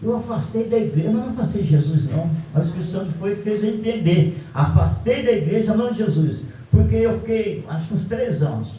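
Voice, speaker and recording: A high-pitched man at a fairly quick pace with lively intonation, amid noticeable background noise and audible room echo. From Brazil, Rio de Janeiro state. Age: 70s. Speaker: guest preacher. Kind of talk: sermon with personal testimony.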